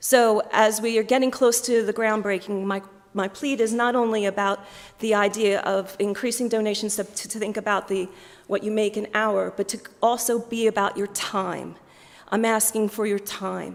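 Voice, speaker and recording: A woman speaks in a flat, monotone way with an American accent over noticeable background noise. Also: fairly high pitch for a woman, moderate pace. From US, Philadelphia. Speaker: diocesan fundraising manager. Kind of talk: appeal speech to church congregation.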